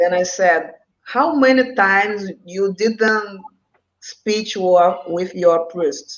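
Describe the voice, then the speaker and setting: Her pace is very slow. The woman holds a medium pitch with ordinary pitch variation. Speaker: school psychologist. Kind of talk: interview conversation. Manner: halting.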